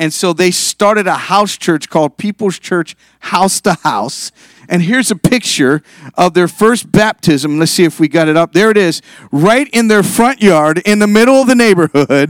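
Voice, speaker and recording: A man with an American accent talks in a high voice with lively intonation and very even loudness, recorded dry and close with no echo. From Northeast Ohio, Youngstown. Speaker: pastor. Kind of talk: sermon. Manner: fast.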